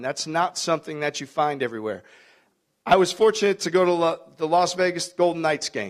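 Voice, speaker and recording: Here is a man with an American accent and a high pitch. He talks at a fairly quick pace with ordinary pitch variation. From Milwaukee, Wisconsin. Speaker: basketball coach. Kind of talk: speech to a club luncheon.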